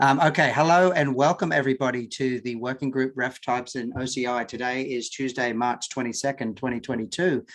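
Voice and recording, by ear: In an Australian accent, the speaker moves at a fairly quick pace with few pauses and fairly even intonation. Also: man, medium pitch for a man.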